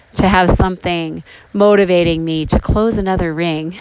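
At a moderate pace, a woman speaks in a warm tone and fairly low pitch with ordinary pitch variation, over noticeable background noise. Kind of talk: reflective devotional talk. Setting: outdoors by a creek. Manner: warm, conversational.

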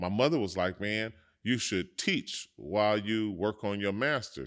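The recording is very clean, with a silent background. A man with a fairly low voice talks at a moderate pace. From South Central Los Angeles. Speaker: former teacher and entrepreneur. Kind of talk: casual chat. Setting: in a restaurant.

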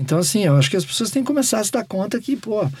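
This man's voice has a dark, mellow tone and is somewhat breathy, captured on a very clean recording with a silent background. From Porto Alegre, southern Brazil. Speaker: rock musician. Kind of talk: interview. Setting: home studio.

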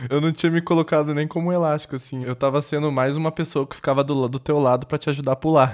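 A man with a fairly high pitch talks at a very fast pace, hardly pausing, his intonation fairly even. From Brazil, Paraná (Londrina). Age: 20s. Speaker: designer. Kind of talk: casual chat.

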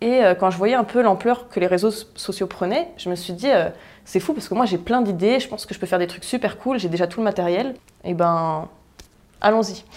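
A woman talks at a moderate pace with medium pitch and ordinary pitch variation, in an unremarkable speaking voice. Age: 20s. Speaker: entrepreneur and property investor. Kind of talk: interview.

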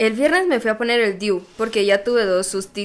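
A plain, everyday voice from a woman, medium in pitch, with ordinary pitch variation and a moderate pace. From Guatemala, Zacapa. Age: 20s. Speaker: podcast co-host. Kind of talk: casual chat. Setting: live stream.

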